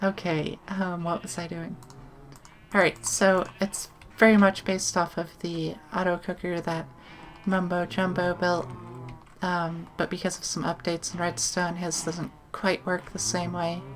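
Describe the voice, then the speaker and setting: A soft-spoken woman, fairly low and monotone, at a fairly slow pace with music in the background. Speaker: gaming YouTuber. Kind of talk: let's play commentary. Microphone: sits far from the microphone.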